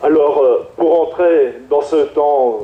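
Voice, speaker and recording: A man speaks very slowly while background noise is clearly audible. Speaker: priest. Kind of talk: sermon. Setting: PA system. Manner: halting.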